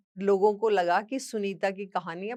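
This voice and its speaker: On a very clean recording with a silent background, a woman uses a normal speaking voice with ordinary pitch variation. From western Uttar Pradesh village near Haryana. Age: 60s. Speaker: social media creator and motivational speaker. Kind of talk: personal testimony talk.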